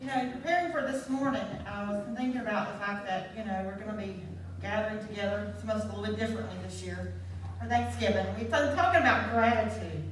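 Light background noise and audible room echo surround a woman as she speaks. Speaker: speaker. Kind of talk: sermon. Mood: gentle, reflective. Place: church. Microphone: handheld.

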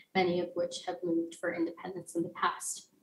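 A woman with an American accent talks at a moderate pace, and room echo is audible. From Texas, El Paso; Texas. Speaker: university student, fellowship presenter; presenter. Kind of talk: academic presentation. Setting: remote video call. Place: home room. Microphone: webcam.

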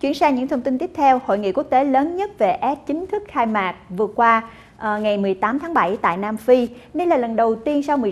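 A woman speaks quickly, her pitch fairly high. Her intonation is lively.

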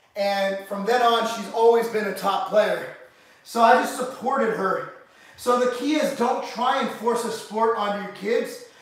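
In a room with strong echo and light background noise, a man speaks at a fairly slow pace with an extremely high pitch. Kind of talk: casual vlog chat. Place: gym. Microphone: camera far.

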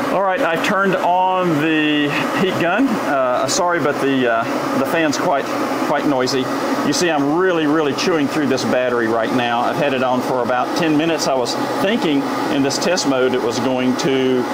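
Loud background noise surrounds the recording. Through it, a man speaks with ordinary pitch variation. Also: moderate pace. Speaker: RV product reviewer. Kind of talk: tutorial. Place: workshop.

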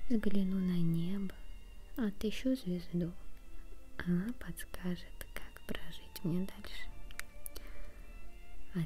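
Very slow, soft-spoken delivery over background music. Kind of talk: quiet poetry reading, ASMR style. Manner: quiet, soft-spoken.

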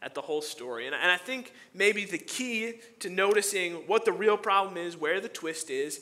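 A man's bright, sharp tone with lively intonation at a moderate pace. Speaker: pastor. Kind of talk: sermon. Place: church.

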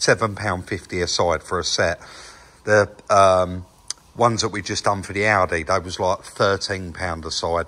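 Fairly even intonation from a man with a very deep, low pitch. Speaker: channel host. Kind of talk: casual vlog commentary. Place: workshop. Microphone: phone near.

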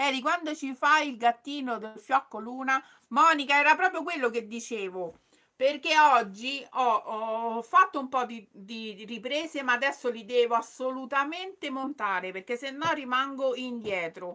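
A woman's animated, raised and projected voice, high-pitched and bright and sharp, at a fairly slow pace with lively intonation and big swings in loudness, over a quiet background. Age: 50s. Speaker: sewing youtuber; sewing channel host. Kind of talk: live stream chat. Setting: live stream. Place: home room. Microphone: phone near.

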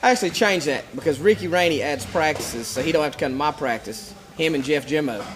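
A man with an Appalachian accent at a very fast pace with hardly any pauses, faint music in the background. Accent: Southern Appalachian American. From western North Carolina. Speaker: MMA promoter; fight team coach. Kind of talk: casual chat. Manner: repetitive, stammering starts. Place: gym.

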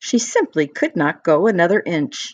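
A woman's fairly low voice with an animated, warm tone at a moderate pace. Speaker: storyteller reading to children. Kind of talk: bedtime story read aloud. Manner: warm, gentle, sing-song storytelling; animated, with different character voices.

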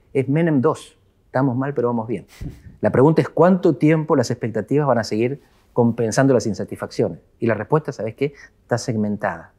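Over a quiet background, the voice has a dark, mellow tone, ordinary pitch variation and a fairly quick pace. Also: man, medium pitch for a man. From Argentina. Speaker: political scientist; guest. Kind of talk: interview. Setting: office. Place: studio. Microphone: lapel.

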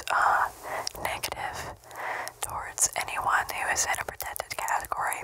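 The voice is soft-spoken. It comes out as a whisper. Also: woman. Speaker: ASMR creator. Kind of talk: casual soft-spoken outro chat. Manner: soft close-mic ASMR whisper. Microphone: studio mic.

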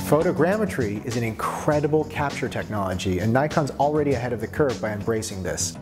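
A man talks at a fairly quick pace. Clear music can be heard behind him. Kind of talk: promotional interview. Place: studio.

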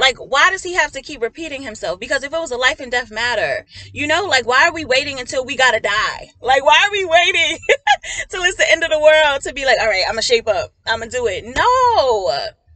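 A woman's raised, projected voice, high in pitch, at a fairly quick pace, with very wide pitch swings and big swings in loudness. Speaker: prophetic minister and counselor. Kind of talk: prophetic message. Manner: animated.

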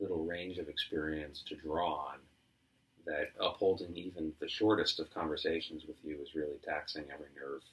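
At a moderate pace, a man talks in a very deep, low voice with fairly even intonation. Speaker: improv comedian. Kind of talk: improvised comedy scene. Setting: apartment. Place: home room. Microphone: camera far.

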